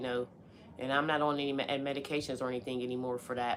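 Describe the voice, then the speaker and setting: Over noticeable background noise, a woman with an American accent and a very deep, low pitch talks at a fairly quick pace in a flat monotone. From Pittsburgh, US. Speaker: live streamer. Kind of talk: casual chat. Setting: live stream at home. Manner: casual, conversational.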